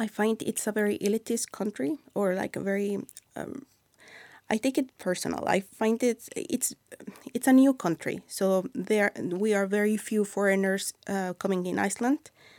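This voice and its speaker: With a Mexican accent, a woman speaks at a medium pitch and moderate pace, her pitch varying in an ordinary way, in a dry, close sound with no echo. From Mexico City. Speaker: YouTube creator and new Icelander. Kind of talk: casual interview chat.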